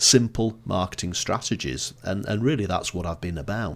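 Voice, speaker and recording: Recorded very cleanly against a silent background, a man with a northern English accent speaks in a very deep, low voice. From northern England, Blackpool. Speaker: marketing consultant and author. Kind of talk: podcast interview.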